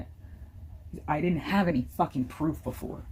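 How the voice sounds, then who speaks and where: At a moderate pace, a woman speaks with a very deep, low pitch and vocal fry. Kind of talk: casual talk to camera.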